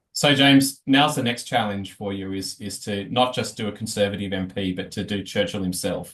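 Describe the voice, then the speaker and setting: A man with a fairly low voice and a strong Australian accent, talking at a fairly quick pace with hardly any pauses. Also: ordinary pitch variation. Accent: broad Australian. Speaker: teacher, co-presenter of a history lesson. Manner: reads a historical text aloud.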